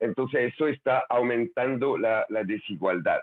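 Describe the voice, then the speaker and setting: A man talks at a moderate pace with a French accent. His pitch is medium, with ordinary variation. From France. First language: French (speaking Spanish). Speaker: conference speaker on labor and education trends. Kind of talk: virtual conference talk with slides. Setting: online video session. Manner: halting, many fillers and repetitions.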